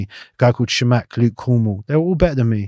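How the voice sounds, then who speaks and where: A man speaks very fast with a South London accent, medium pitch and ordinary pitch variation. The sound is dry and close with no echo, over a quiet background. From South London (Battersea/Clapham). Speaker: retired footballer. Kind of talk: casual interview.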